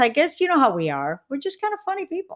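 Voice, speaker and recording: A woman speaks with very wide pitch swings. The recording is very clean, the background silent. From Puerto Rico. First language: Spanish. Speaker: comedian and former engineer. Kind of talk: interview.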